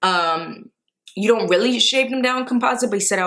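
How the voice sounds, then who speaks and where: A woman's lively, fairly quick speech in a New York accent. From New York, the Bronx. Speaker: vlogger. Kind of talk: casual vlog.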